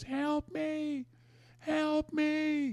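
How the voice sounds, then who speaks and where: Someone does a put-on character voice at a high pitch. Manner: pleading.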